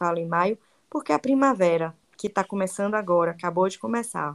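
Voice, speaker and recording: A woman with a Bahian accent and ordinary pitch variation. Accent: Bahian Brazilian Portuguese. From Bahia, Brazil. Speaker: travel guide and digital influencer. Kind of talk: interview. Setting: podcast.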